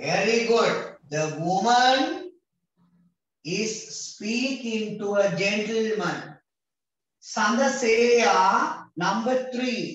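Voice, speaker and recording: In a Sri Lankan accent, a man speaks very slowly in a high pitch with lively intonation, amid strong room echo. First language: Sinhala. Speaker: English teacher for grade 6 pupils; teacher. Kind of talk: online class lesson. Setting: video call. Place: home room. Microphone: video call.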